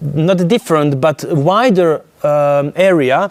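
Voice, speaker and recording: A man talks at a very slow pace. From Croatia. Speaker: intuitive therapist and speaker. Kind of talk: conference talk. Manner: halting.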